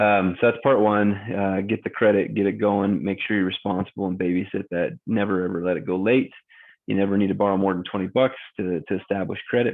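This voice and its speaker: A man with a normal speaking voice talks at a fairly quick pace in a fairly low pitch with fairly even intonation. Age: 40s. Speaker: mortgage broker. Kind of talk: casual talk to camera.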